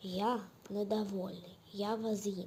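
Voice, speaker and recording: Putting on a character voice, a woman speaks at a medium pitch and a fairly slow pace in a monotone, flat intonation, with clear background noise. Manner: menacing, growly.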